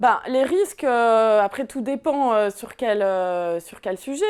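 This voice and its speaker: A woman with a fairly high pitch and ordinary pitch variation. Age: 30s. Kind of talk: interview answer. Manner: hesitant, many filler sounds.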